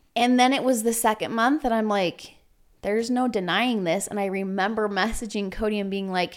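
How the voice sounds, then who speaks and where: Very clean recording with a silent background. A woman with a normal speaking voice talks at a moderate pace, her pitch fairly high. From Utah. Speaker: entrepreneur. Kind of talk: interview.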